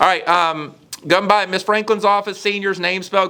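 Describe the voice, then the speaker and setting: In an animated, bright and sharp tone, a man talks at a fairly quick pace with a high pitch. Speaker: high school principal. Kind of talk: school morning announcements. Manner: fast; casual, animated.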